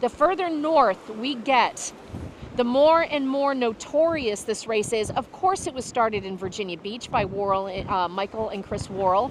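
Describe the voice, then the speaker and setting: Over noticeable background noise, a woman speaks in a fairly high voice with lively intonation. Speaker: sailing race commentator. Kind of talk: live commentary. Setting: outdoors on a beach. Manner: loud.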